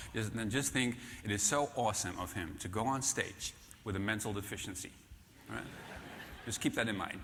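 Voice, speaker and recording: With a Dutch accent, a man talks at a fairly quick pace and fairly low pitch with ordinary pitch variation, taking long, frequent pauses amid audible room echo. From Netherlands. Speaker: keynote speaker, author on management. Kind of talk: conference keynote. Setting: stage with audience. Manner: halting, many fillers.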